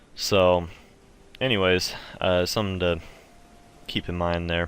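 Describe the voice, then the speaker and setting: A man's very deep, low voice at a fairly slow pace, monotone with flat intonation. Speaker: video game tutorial maker. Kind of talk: tutorial. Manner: casual, filler words.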